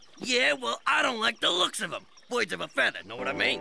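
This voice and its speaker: A man performs a cartoonish character voice at a fairly quick pace. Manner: brash, streetwise.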